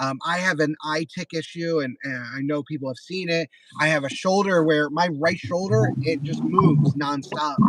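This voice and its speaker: Moderately paced speech from a man with a fairly high pitch, fairly even intonation and hardly any pauses, over noticeable background noise. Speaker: delivery gig worker and YouTuber. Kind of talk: casual chat on a livestream. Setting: live stream.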